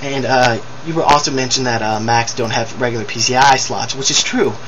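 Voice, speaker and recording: With noticeable background noise and audible room echo, a man talks at a fairly quick pace. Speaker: video blogger. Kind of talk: video response rant. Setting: webcam recording. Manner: fast; animated. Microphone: poor webcam audio.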